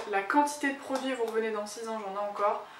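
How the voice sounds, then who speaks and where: The speech has fairly even intonation, with audible room echo and noticeable background noise. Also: woman. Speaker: beauty vlogger. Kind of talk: product review vlog. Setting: at home.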